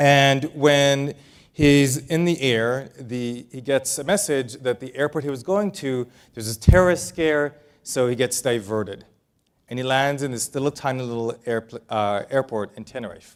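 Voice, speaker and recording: A slight Israeli accent at a moderate pace, with ordinary pitch variation and big swings in loudness. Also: man, medium pitch for a man. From Israel, moved to El Paso, Texas at nine. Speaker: business author and keynote speaker. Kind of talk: keynote speech. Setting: stage with audience. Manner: casual, with fillers.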